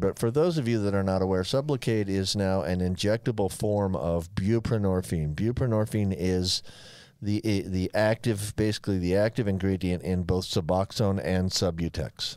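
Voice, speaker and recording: Against a quiet background with a dry sound and no echo, a man with a plain, everyday voice speaks at a fairly low pitch, with ordinary pitch variation, very even loudness and hardly any pauses. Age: 60s. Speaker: physician co-host. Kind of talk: casual chat; medical explanation. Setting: studio. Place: studio. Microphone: studio mic.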